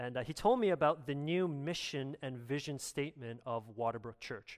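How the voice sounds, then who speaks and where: In a very clean recording with a silent background, a man with a Canadian accent uses an ordinary speaking voice at a fairly high pitch with lively intonation. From Canada. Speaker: pastor. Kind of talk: sermon. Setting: church.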